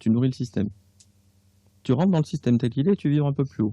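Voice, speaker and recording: Somewhat breathy, a man of medium pitch races along at a very fast pace with lively intonation and a dark, mellow tone, in a dry, close sound with no echo. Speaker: author and clairvoyant. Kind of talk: radio interview. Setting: radio studio. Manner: casual, hesitant with fillers.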